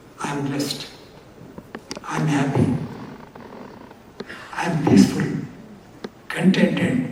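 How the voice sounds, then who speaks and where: Delivered at a fairly slow pace, the speech has noticeable background noise behind it. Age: 80s+. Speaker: author of an autobiography. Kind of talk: speech at a book release.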